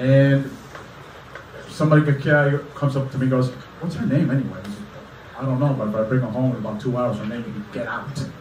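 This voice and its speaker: Over light background noise and audible room echo, a man speaks with fairly even intonation and long, frequent pauses. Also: fairly quick pace. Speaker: comedian. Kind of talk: stand-up. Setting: stage with audience. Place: stage.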